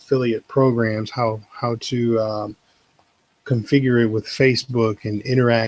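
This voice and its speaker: A man's medium-pitched voice in a monotone, flat delivery, with a dry, close sound and no echo. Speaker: web tutorial creator. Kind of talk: tutorial. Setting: live video stream. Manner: quiet, subdued.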